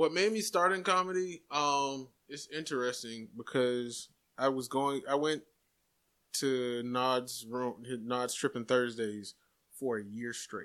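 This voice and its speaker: This man speaks at a very slow pace in a medium-pitched voice with an American accent, lively intonation and a bright, sharp tone, on a very clean recording with a silent background. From Jacksonville, Florida. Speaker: stand-up comedian. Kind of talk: casual chat.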